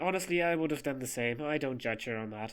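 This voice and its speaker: A man talks at a fairly high pitch with lively intonation and a fairly quick pace. He has an unremarkable speaking voice. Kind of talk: storytime narration. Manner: casual, playful.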